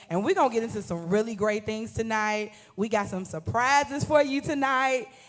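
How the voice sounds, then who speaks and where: A woman speaks loudly. Her tone is animated. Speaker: event moderator and church ministry co-lead. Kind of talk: live panel introduction. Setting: live stream event with audience.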